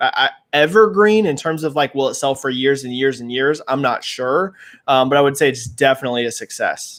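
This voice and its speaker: With a plain, everyday voice, a man talks at a fairly quick pace, his fairly high pitch varying in an ordinary way. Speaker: gaming industry commentator, livestream host. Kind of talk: live stream chat, answering viewer questions. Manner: casual, many fillers.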